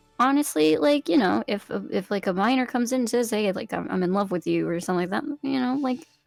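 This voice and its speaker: A very fast, lively delivery with hardly any pauses over music in the background. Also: woman, fairly high pitch for a woman. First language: not English. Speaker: VTuber. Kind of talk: interview. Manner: halting.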